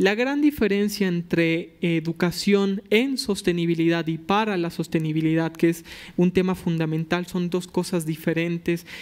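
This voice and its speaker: Over a quiet background, a man with a high voice talks fairly slowly with ordinary pitch variation and hardly any pauses. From Mexico, Tabasco. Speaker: environmental lawyer, youth panelist; environmental lawyer, panelist. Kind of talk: panel discussion. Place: hall. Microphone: podium.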